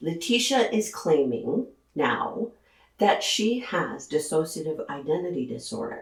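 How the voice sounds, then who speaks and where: The voice is somewhat breathy, with very wide pitch swings. It moves at a fairly slow pace. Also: woman, fairly low pitch for a woman. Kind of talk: true crime commentary to camera.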